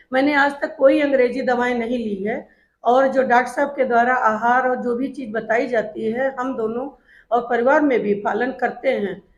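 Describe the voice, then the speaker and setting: In a quiet background, a woman speaks at a high pitch with fairly even intonation. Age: 60s. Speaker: retired school principal, patient. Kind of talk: testimonial.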